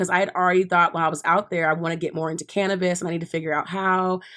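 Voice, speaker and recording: A fairly low-pitched woman comes through on a very clean recording with a silent background. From Texas, Dallas. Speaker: podcast guest, fashion worker. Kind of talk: casual chat. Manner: animated.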